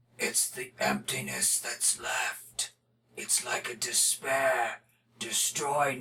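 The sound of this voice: A put-on character voice, raspy and menacing, at a very slow pace. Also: man, fairly high pitch for a man.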